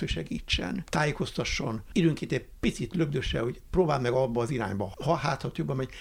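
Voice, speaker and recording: A man speaks at a fairly quick pace with vocal fry. His pitch swings very widely. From Hungary, Budapest. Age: 70s. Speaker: retired college teacher, environmental educator. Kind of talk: interview.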